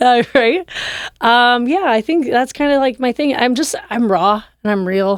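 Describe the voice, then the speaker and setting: With an American accent, a woman speaks fairly slowly in a high pitch with lively intonation. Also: very even loudness. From US Pacific Northwest (Oregon). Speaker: rapper. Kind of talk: casual chat.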